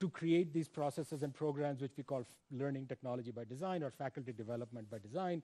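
A man speaks at a fairly quick pace with a fairly high pitch. His tone is dark and mellow. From India. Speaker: education professor. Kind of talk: invited lecture. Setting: stage with audience. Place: stage. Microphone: headset.

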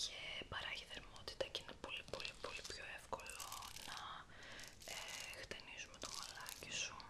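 A soft-spoken, breathy whisper comes at a moderate pace. Loud background noise sits behind it. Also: woman. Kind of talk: soft-spoken roleplay chat. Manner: soft, breathy ASMR near-whisper. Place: home room.

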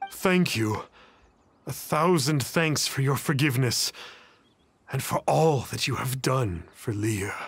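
A man's cartoonish character voice, slow and fairly bright, with a slightly husky edge, medium pitch and ordinary pitch variation.

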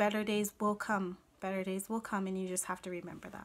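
A woman talks in a monotone, with flat intonation. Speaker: vlogger giving advice. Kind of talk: casual vlog chat. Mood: earnest, calm, supportive. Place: home room. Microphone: phone near.

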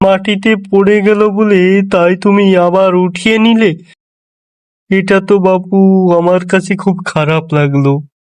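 The speaker uses a cartoonish character voice at a fairly slow pace. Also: man. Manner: commanding, calls servants with "ei ke achhis".

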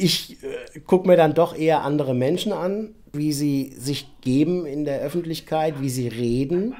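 Ordinary pitch variation runs through this speech. The tone is dark and mellow. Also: man. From Frankfurt-Sachsenhausen. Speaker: actor. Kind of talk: interview answer.

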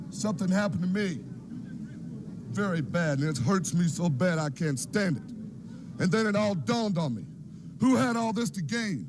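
Amid noticeable background noise, the speaker uses an angry, intense tone with lively intonation at a moderate pace. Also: man, high pitch for a man. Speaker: professional wrestler. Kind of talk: wrestling promo. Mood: angry, aggrieved. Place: studio. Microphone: handheld.

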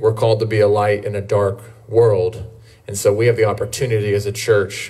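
Somewhat breathy, fairly low male voice at a moderate pace, with monotone, flat intonation. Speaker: pastor. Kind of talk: church announcements and short sermon. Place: street.

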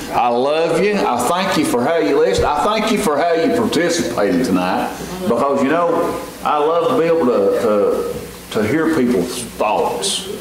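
Strong room echo surrounds a man speaking at a medium pitch with lively intonation. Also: fairly slow pace.

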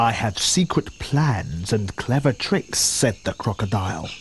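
A man speaks in a somewhat breathy voice with very wide pitch swings. The sound is dry with no echo. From England. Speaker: voice actor. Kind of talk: children's story narration. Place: studio.

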